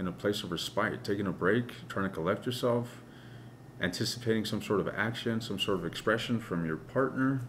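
Over light background noise, a man speaks with a fairly low pitch. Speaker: tarot reader. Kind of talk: tarot reading commentary. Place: home room.

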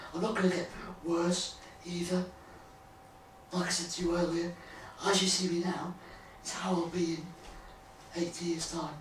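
Amid light background noise and audible room echo, a man with a high pitch speaks in a monotone, flat way at a moderate pace, with long, frequent pauses. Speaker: former Paralympic athlete and blogger. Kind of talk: interview conversation. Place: home room. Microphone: camera far.

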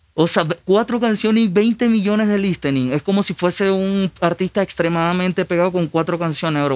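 Talking at a fairly quick pace, a man with a high pitch and ordinary pitch variation is heard in a dry sound with no echo. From Venezuela. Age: 20s. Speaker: musician; guest. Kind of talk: casual chat. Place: studio. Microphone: studio mic.

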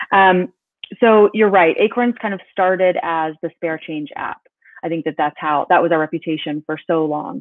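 Speaking with an American accent at a moderate pace, a woman has a fairly low pitch and ordinary pitch variation, with a dry sound with no echo. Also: quiet background. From North Carolina. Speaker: business executive; guest. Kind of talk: interview. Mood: friendly, upbeat. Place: home room. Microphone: webcam.

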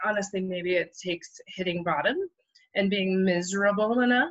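A woman's bright, sharp voice at medium pitch over a quiet background. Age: 50s. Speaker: therapist; guest. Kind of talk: interview. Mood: calm, thoughtful. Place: home room. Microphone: video call.

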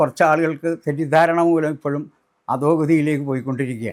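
The speaker is male. The recording is very clean, and the background is silent. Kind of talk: personal testimony.

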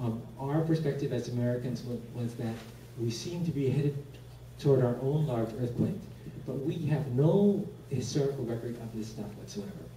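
A man speaks at a moderate pace with ordinary pitch variation. Room echo is audible, and background noise is noticeable. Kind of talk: lecture.

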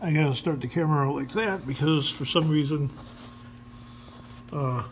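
Over light background noise, a man speaks at a moderate pace. His pitch varies in an ordinary way. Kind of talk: casual repair commentary. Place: garage. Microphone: phone near.

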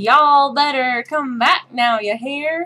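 A female-sounding voice, high in pitch, speaks fairly slowly in a put-on character voice. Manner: exaggerated, mocking.

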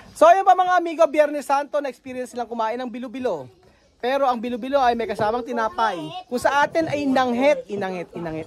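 Over crowd noise in the background, a man talks at an extremely high pitch with ordinary pitch variation. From Philippines. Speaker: vlogger. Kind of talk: casual vlog narration; casual vlog chat. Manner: animated. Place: open country. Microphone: phone near.

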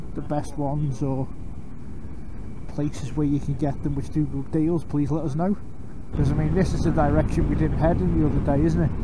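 A man at a fairly quick pace, a dry sound with no echo, and noticeable background noise. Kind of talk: casual chat over intercom. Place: motorbike. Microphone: helmet.

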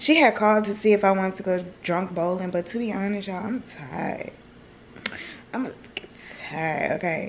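Light background noise underlies a woman talking at a moderate pace, her intonation fairly even. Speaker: vlogger. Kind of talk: casual vlog chat. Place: home room. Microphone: phone near.

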